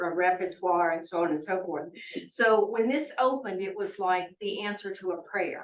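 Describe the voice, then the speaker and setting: A woman talks at a moderate pace with a medium pitch and ordinary pitch variation. Audible room echo surrounds her voice. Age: 70s. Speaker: resident speaking at public comment. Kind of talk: public comment at town meeting. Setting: city hall meeting.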